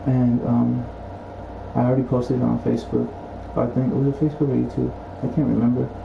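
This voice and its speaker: Over noticeable background noise and audible room echo, a man speaks at a very fast pace with very even loudness and long, frequent pauses. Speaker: gaming livestreamer. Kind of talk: casual livestream monologue. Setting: at home. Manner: halting, many fillers.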